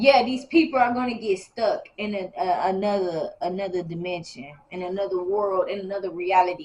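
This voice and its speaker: Noticeable background noise sits behind a woman talking at a moderate pace. Her pitch is medium with ordinary variation. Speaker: tarot reader. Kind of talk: spiritual reading to camera. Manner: halting.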